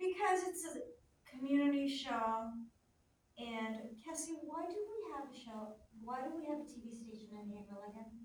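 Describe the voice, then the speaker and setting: Very wide pitch swings and big swings in loudness run through this moderate-paced speech. Long, frequent pauses break it up, and there is audible room echo. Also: woman, high pitch for a woman. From Canada and Greece. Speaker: community TV show host. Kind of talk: casual chat.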